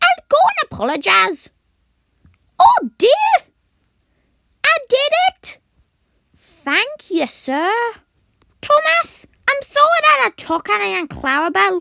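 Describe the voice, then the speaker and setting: A put-on, female-sounding character voice, extremely high in pitch, fairly slow, with long, frequent pauses. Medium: voice reel.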